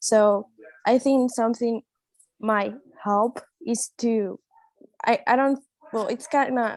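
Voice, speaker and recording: A woman talks at a very slow pace, leaving long, frequent pauses and keeping her intonation fairly even. The sound is dry and close, with no echo. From Colombia. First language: Spanish. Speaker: international student. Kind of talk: panel discussion.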